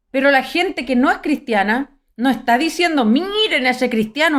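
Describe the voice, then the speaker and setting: A woman with a high pitch speaks at a fairly slow pace with very wide pitch swings. The recording is very clean, with a silent background. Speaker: preacher. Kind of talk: sermon. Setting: live stream.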